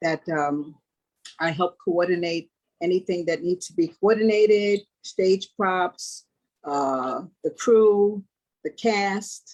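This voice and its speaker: Speaking very slowly at medium pitch, a woman uses ordinary pitch variation and takes long, frequent pauses. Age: 60s. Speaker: stage manager. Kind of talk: interview.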